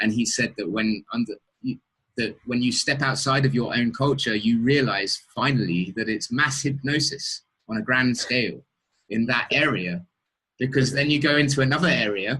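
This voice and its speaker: A man with an English accent has a bright, sharp tone. His pitch varies in an ordinary way. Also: medium pitch for a man, moderate pace. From England. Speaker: interviewer. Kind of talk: interview. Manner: halting, many repetitions.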